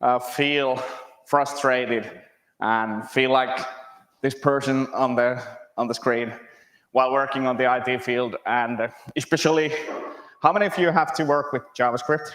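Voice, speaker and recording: Talking at a moderate pace with a Finnish accent, a man of medium pitch keeps his intonation fairly even and leaves long, frequent pauses. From Finland. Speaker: software developer, conference speaker. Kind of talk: conference talk. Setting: stage with audience.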